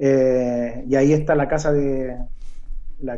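With a dark, mellow tone, this man speaks at a fairly high pitch. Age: 40s. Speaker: kung fu master. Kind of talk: interview.

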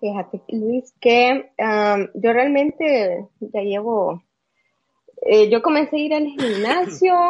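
The speech is very slow, with lively intonation. It carries a Salvadoran accent. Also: woman, fairly high pitch for a woman. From El Salvador. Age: 30s. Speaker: bodybuilder. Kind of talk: interview. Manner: halting, many fillers.

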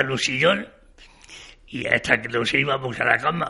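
Against noticeable background noise, a man with a fairly high pitch speaks at a fairly slow pace. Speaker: retired shop manager. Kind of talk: interview testimony. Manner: halting.

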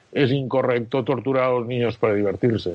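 This is a man's voice. It sits at a medium pitch and varies in pitch in an ordinary way. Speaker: philosophy of law professor. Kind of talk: interview. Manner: halting.

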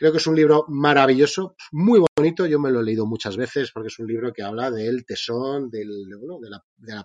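The recording is dry and close, with no echo. A man with a plain, everyday voice talks at a fairly quick pace and a medium pitch, with ordinary pitch variation. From Spain. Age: 40s. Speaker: entrepreneur. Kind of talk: interview.

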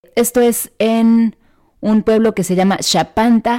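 The delivery comes at a very slow pace. The tone is dark and mellow. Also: woman. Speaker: travel podcast host. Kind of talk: scripted narration.

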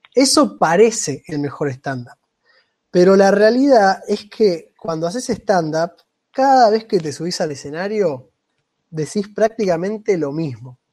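A man speaks at a fairly slow pace in a high-pitched voice. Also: lively intonation. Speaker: amateur stand-up comedian and podcast co-host. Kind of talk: casual chat.

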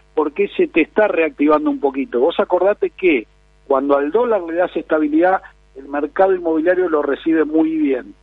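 A man with an unremarkable speaking voice, pitched fairly high, talks at a moderate pace. His pitch varies in an ordinary way. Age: 50s. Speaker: real estate advisor. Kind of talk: interview.

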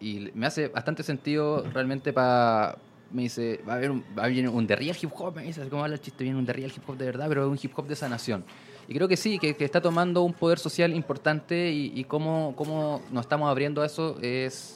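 Speaking with a Chilean accent, a man talks at a fairly quick pace and a fairly high pitch. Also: ordinary pitch variation. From southern Chile, La Unión. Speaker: hip hop blogger. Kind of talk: casual chat.

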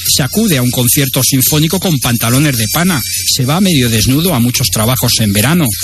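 With noticeable background noise behind him, a man speaks at a moderate pace in a medium-pitched voice with lively intonation. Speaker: radio host. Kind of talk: radio book review with passages read aloud. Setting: radio studio. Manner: formal, measured, literary reading pace; even and didactic, like reading an essay.

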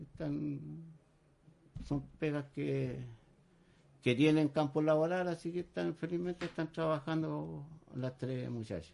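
With a Chilean accent and a dark, mellow tone, a man speaks at a fairly slow pace, taking long, frequent pauses, his pitch varying in an ordinary way. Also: fairly high pitch for a man. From Chile, San Antonio. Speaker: tugboat deckhand. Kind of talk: radio interview.

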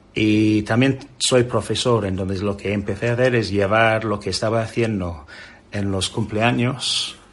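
A man talks fairly slowly in a fairly low voice, his intonation staying fairly even. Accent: English. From England. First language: English (speaking Spanish). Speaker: children's magician. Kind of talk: interview.

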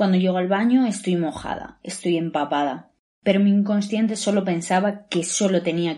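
Against a quiet background, a woman speaks at a fairly low pitch and a moderate pace, her tone dark and mellow with ordinary pitch variation. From Valladolid, Spain. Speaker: new mother and show contributor. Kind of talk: testimony.

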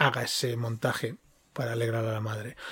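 The man speaks at a fairly slow pace, somewhat breathy. The sound is dry and close, with no echo. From Catalonia (Girona). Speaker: podcast co-host. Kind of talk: casual chat.

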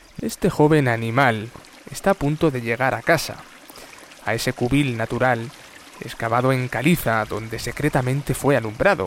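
A man speaks in a solemn tone with ordinary pitch variation. Noticeable background noise runs behind him. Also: medium pitch for a man, moderate pace. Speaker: narrator. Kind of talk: scripted bedtime-style nature story narration. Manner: solemn, tender, reflective tone.

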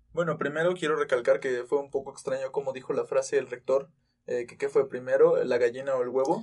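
The pace is fairly quick. A man speaks with big swings in loudness. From Mexico, Tulancingo, Hidalgo. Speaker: university student podcast host. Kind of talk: casual chat.

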